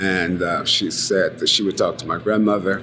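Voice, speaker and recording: There is noticeable background noise. Through it, a man talks with an American accent. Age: 60s. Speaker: oral history interviewee. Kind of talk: oral history interview. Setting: bar. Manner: halting, many fillers.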